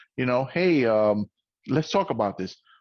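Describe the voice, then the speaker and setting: Medium-pitched male voice with an American accent and very wide pitch swings, against a quiet background. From New York, the Bronx. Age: 40s. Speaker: podcast host. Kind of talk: casual interview chat.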